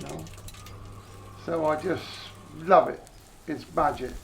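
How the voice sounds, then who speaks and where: Noticeable background noise sits behind this recording. A man speaks fairly slowly with a West Country accent. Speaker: slab maker. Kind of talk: interview answer.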